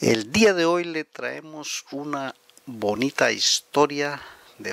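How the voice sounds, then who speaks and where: A man with a fairly high pitch and ordinary pitch variation speaks at a very slow pace in a dry, close sound with no echo. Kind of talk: channel intro to viewers.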